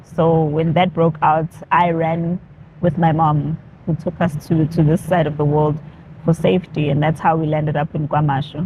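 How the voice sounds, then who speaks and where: A woman speaks at a moderate pace in a very deep, low voice with flat, monotone intonation, over noticeable background noise. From South Africa, Durban (KwaZulu-Natal). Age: young. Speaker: activist, former radio presenter. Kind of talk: interview. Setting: in-person interview in Durban. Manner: casual, with frequent fillers.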